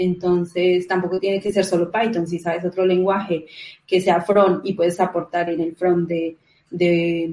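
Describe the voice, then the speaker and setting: The woman has a fairly low pitch and a Colombian accent. She talks at a fairly slow pace. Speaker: event organizer, junior developer. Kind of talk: casual interview chat.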